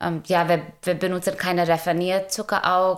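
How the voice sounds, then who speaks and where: A woman's voice at medium pitch. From India. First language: Indian language, German learned as adult (speaking German). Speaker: food startup founder. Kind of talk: interview. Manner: halting, many fillers.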